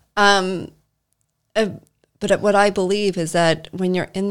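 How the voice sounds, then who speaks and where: A woman with a normal speaking voice, pitched fairly low. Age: 40s. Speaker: Reiki master and business owner. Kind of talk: casual interview chat.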